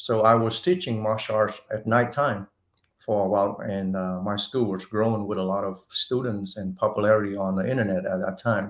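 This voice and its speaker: A man's fairly low voice at a moderate pace, with fairly even intonation. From Vietnam (Saigon), moved to Texas as teen. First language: Vietnamese. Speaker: martial arts instructor and actor. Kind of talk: interview. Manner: halting.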